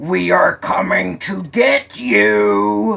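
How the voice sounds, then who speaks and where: Loud and bellowing, a man performs a put-on character voice at a fairly low pitch. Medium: read story. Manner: menacing.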